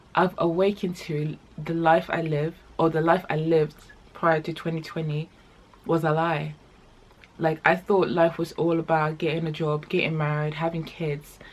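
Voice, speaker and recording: With a non-native accent, a woman speaks at a moderate pace in a fairly low pitch with monotone, flat intonation. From The Gambia. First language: not English. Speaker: vlogger. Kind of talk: casual chat vlog; reading aloud. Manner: hesitant, many fillers.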